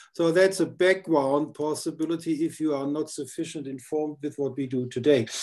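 In a German accent, a man speaks at a moderate pace with fairly high pitch. His tone is dark and mellow, with fairly even intonation. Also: quiet background. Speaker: podcast host; interview host. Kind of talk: interview; interview questions and conversation. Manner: halting. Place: home room. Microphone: headset.

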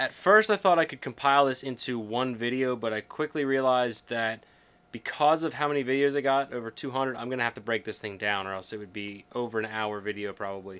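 The man's speech races at a very fast pace. Ordinary pitch variation runs through it. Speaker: vlogger. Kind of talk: casual vlog chat. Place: office.

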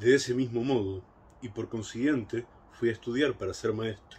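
A man talks at a fairly slow pace. His tone is warm and somewhat breathy. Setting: home recording, a solo video message. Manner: warm, reflective, conversational. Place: garden. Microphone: phone near.

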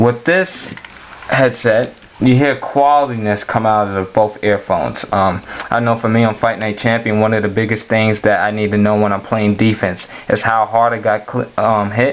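With faint background noise, a man talks at a moderate pace and a fairly low pitch, keeping his intonation fairly even.

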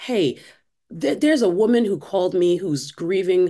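Dark, mellow tone from a woman with an American accent at a moderate pace, quiet background. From US Northeast, Brooklyn, New York; New York. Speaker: church discipleship director and author; podcast guest. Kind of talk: interview. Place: home room. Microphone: webcam.

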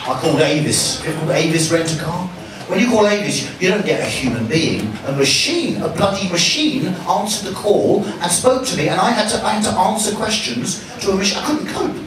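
A man at a high pitch and moderate pace, with very wide pitch swings, light background noise and audible room echo. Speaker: comedian. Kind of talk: stand-up. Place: bar.

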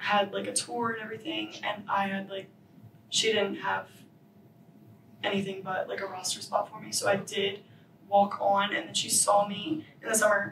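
With audible room echo and light background noise, a woman is speaking. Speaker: guest. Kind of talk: interview answer. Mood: relaxed, chatty. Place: studio.

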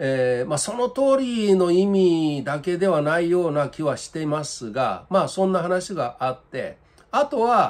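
A man talks fairly slowly, his pitch making very wide swings. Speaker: political commentator. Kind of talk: commentary. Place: home room. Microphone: webcam.

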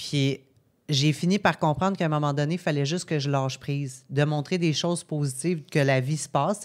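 A woman speaks with a very deep, low pitch. Her intonation is fairly even, and the background is quiet. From Quebec, Gaspésie; Quebec. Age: 30s. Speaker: podcast guest. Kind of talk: casual chat. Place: studio. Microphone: studio mic.

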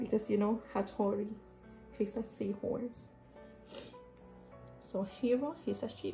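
A woman speaks at a fairly slow pace with a fairly high pitch and ordinary pitch variation. Her long, frequent pauses sit over faint music in the background. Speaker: book journaler. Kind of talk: casual talk to camera. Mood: warm, enthusiastic. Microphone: phone near.

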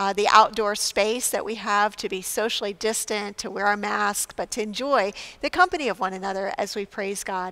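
Bright and sharp in tone, a woman talks at a moderate pace with hardly any pauses. Her intonation stays fairly even. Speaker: pastor. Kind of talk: church announcements to online viewers. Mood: warm, welcoming. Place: church.

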